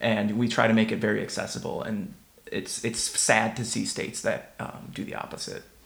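A man with an American accent at a moderate pace, with audible room echo. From Minnesota, US. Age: 20s. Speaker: former Senate staffer, American expat interviewee. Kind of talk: interview answers.

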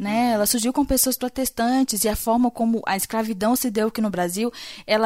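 A woman with an unremarkable speaking voice speaks at a fairly high pitch and moderate pace with fairly even intonation. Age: 20s. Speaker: podcaster and PhD student in microbiology. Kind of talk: casual discussion.

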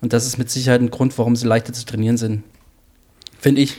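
A man talks at a very fast pace. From Hesse. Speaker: triathlon coach. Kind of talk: casual chat.

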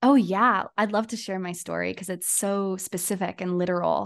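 The speaker has a Californian accent and a fairly slow pace. The intonation is fairly even, and the background is quiet. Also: woman. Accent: Californian American English. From US, San Diego area. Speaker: astrologer. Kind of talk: casual interview chat.

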